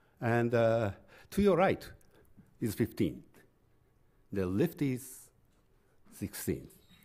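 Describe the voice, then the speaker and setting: With a Japanese accent and a dark, mellow tone, a man talks at a medium pitch and very slow pace, with very wide pitch swings and long, frequent pauses over a quiet background. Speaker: art history professor. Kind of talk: lecture. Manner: halting. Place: hall. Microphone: podium.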